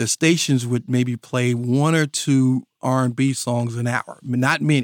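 In a dry, close recording with no echo, a man talks fairly slowly at medium pitch with fairly even intonation. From rural North Carolina. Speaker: DJ and mixtape artist. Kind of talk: interview. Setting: studio.

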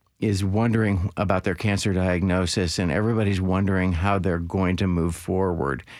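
A man's plain, everyday voice with an American accent, fairly low in pitch, with ordinary pitch variation. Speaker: cancer survivor. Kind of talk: interview.

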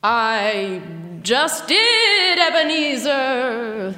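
A put-on character voice sounds female and high-pitched. A clear echo surrounds it. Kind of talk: theatrical ghost voice. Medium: audio drama. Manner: slow, portentous.

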